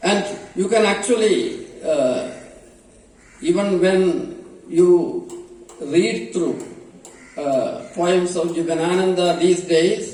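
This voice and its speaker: The man speaks at a very slow pace, with long, frequent pauses. Noticeable background noise and audible room echo fill the recording. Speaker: professor. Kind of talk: lecture. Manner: halting, many fillers.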